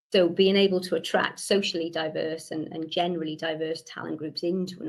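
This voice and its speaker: A woman's fairly low, flat, monotone voice in a Welsh accent, at a very fast pace. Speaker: webinar guest speaker. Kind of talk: presentation. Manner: frequent word repetitions.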